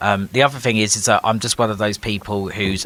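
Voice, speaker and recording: A man talks very fast with an English accent and a fairly low pitch. There is noticeable background noise. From UK. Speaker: nonprofit organization leader, former city councillor. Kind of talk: podcast interview.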